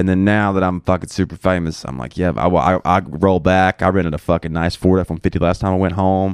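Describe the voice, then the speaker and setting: A man with a very deep, low pitch talks at a fairly quick pace. He hardly pauses, and the background is quiet. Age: 20s. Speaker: comedian. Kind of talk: casual chat.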